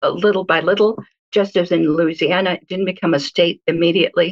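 Using a normal speaking voice, a woman with an American accent talks at a fairly quick pace and a medium pitch with fairly even intonation. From Israel, then US. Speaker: guest commentator. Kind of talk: interview. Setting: phone call.

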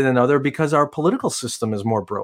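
A man with an American accent. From US Midwest, Chicago area. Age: 40s. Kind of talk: interview.

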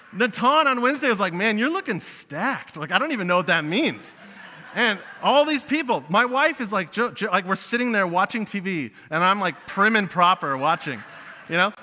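Amid noticeable background noise, a man with a high voice speaks in a raised, projected voice at a fairly quick pace with very wide pitch swings. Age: 20s. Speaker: youth pastor. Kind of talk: sermon. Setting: church.

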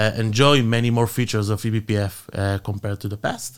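A man talks at a moderate pace in an unremarkable speaking voice with a medium pitch. The recording is very clean, the background silent. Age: 30s. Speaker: tech company executive. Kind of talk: interview.

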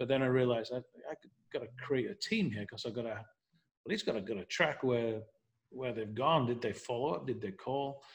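At a moderate pace, a man with an American accent speaks at a medium pitch, somewhat breathy, with ordinary pitch variation. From northern England, Leeds. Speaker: real estate team leader. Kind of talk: interview.

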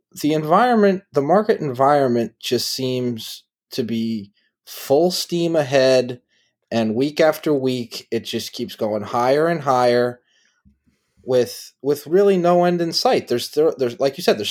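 The man has a normal speaking voice with a fairly high pitch and lively intonation, speaking at a fairly slow pace on a very clean recording with a silent background. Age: 30s. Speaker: podcast host. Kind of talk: casual chat.

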